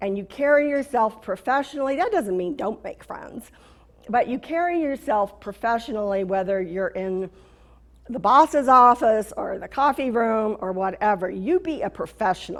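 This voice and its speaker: In an American accent, a woman with an ordinary speaking voice talks at a moderate pace, her intonation lively and her loudness swinging widely. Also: fairly high pitch for a woman. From California. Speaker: corporate trainer. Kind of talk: motivational talk.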